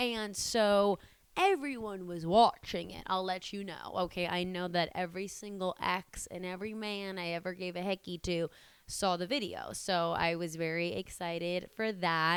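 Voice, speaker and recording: A woman at medium pitch speaks in an animated tone at a moderate pace. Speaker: comedian and content creator. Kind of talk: casual vlog chat.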